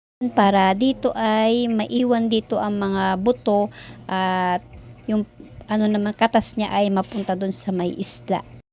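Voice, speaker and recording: A woman talks at a fairly slow pace in a normal speaking voice of medium pitch. Her intonation is fairly even, on a very clean recording with a silent background. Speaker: cooking vlogger. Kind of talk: cooking tutorial narration.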